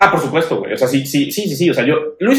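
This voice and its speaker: Speaking at a very fast pace, a man makes very wide pitch swings. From Mexico City. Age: 20s. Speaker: podcast co-host. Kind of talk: casual chat.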